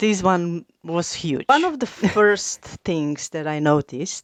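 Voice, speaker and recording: In a non-native accent, a woman talks at medium pitch with lively intonation and a bright, sharp tone. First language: not English. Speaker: YouTuber. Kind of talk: casual talk to camera.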